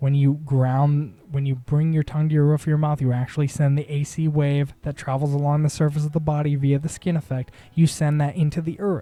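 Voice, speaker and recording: A man's ordinary speaking voice, fairly high in pitch and fairly quick in pace. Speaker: spiritual content creator. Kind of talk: monologue lecture.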